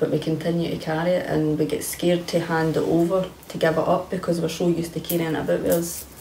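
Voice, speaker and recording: A woman with a Scottish accent and fairly low pitch talks very fast with hardly any pauses and a monotone, flat intonation, amid audible room echo and light background noise. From Scotland. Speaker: kambo participant with fibromyalgia; interviewee. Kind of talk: testimony. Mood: earnest, reflective, emphatic. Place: home room.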